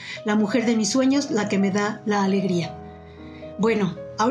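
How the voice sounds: The pitch changes in an ordinary way. This voice is a natural reading voice.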